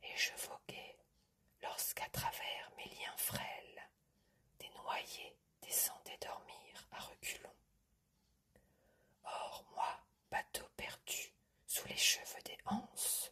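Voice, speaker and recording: A woman whispering at a very slow pace, with long, frequent pauses and big swings in loudness. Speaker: ASMR content creator. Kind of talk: ASMR whispered poetry reading. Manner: whispered, soft-spoken.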